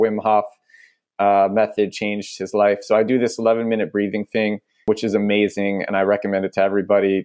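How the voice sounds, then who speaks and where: A man talks with an American accent at a fairly low pitch. His intonation stays monotone and flat. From New York (Brooklyn). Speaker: startup founder. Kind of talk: casual chat. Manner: loud.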